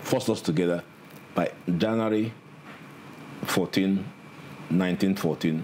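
A man with a Nigerian accent speaks in a very deep, low voice with ordinary pitch variation. His pace is very slow, and there is light background noise. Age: 70s. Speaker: senior lawyer. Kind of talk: interview. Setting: studio. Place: office.

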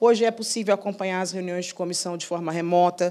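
At a very fast pace, a woman with a fairly low pitch speaks with fairly even intonation. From Brazil. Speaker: lawyer. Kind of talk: panel talk. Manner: hesitant, many fillers. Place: hall. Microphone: handheld.

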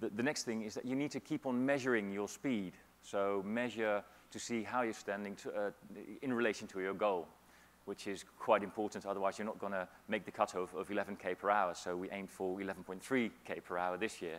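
Here a man speaks at a moderate pace in an unremarkable speaking voice. His pitch is fairly low, with ordinary pitch variation. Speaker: keynote speaker. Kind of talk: conference keynote. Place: hall. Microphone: lapel.

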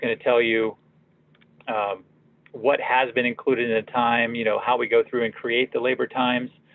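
A man speaks in a monotone, flat way at a moderate pace. The sound is dry, with no echo. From Pittsburgh, Pennsylvania. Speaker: product marketing manager; presenter. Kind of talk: software demo tutorial. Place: office. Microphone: webcam.

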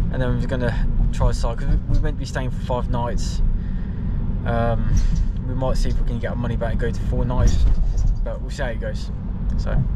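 A man's voice comes through loud background noise with a dry sound and no echo. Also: fairly quick pace. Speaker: travel vlogger. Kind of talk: casual vlog chat. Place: car. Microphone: phone near.

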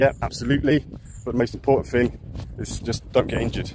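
A man talking at a fairly quick pace, dry with no echo, over light background noise. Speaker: ultrarunner vlogger. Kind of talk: casual vlog chat. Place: waterside. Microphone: phone near.

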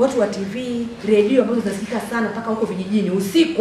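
A woman's very fast speech with light background noise and audible room echo. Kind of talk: public address to a meeting. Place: hall.

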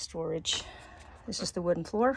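A woman talks at a moderate pace. The sound is dry, with no echo. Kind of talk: casual tour walkthrough. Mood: enthusiastic. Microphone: phone near.

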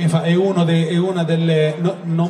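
Over light background noise and audible room echo, a man talks at a fairly high pitch with monotone, flat intonation. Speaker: interviewer. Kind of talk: casual interview. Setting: live event with audience. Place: stage.

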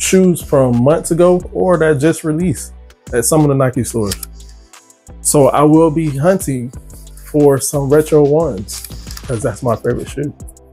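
Faint music plays in the background as the speaker talks at a moderate pace with ordinary pitch variation. Long, frequent pauses break up the speech. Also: man. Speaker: sneaker vlogger. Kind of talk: casual vlog chat. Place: home room.

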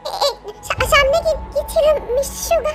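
A woman uses a put-on character voice, extremely high-pitched and squeaky, with lively intonation. She goes at a fairly quick pace over clear music in the background. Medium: read story. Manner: stammering, nervous.

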